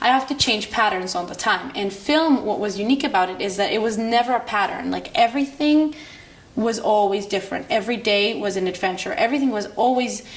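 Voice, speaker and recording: At a fairly quick pace, the speaker talks with an Israeli accent and ordinary pitch variation, with noticeable background noise behind. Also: woman, fairly high pitch for a woman. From Israel, Jerusalem. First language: Hebrew. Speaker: filmmaker. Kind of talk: interview monologue. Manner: halting.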